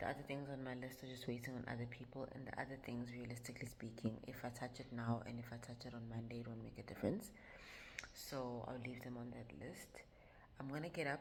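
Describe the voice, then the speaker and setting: Speaking at a very fast pace, a woman uses a very deep, low pitch and fairly even intonation. Audible room echo and noticeable background noise come through. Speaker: vlogger. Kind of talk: vlog talk to camera. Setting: in a car. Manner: casual, hesitant with fillers.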